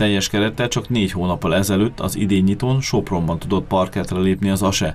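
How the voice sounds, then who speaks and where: With a plain, everyday voice, a man talks at a fairly quick pace and a fairly low pitch, with fairly even intonation, very even loudness and hardly any pauses. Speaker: local TV sports reporter. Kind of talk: news reading.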